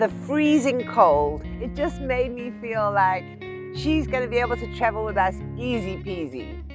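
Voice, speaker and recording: Music plays in the background while a woman talks at a moderate pace. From South Africa. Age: 50s. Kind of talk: travel vlog narration.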